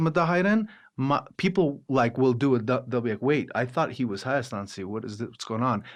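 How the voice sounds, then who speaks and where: Here a man speaks in a Los Angeles accent at medium pitch. His intonation is lively. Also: very clean recording, silent background. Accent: American English, Los Angeles. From Los Angeles, Armenian-American household. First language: Armenian. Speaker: opera singer, actor and director. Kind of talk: interview conversation. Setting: podcast. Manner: halting, many false starts and fillers.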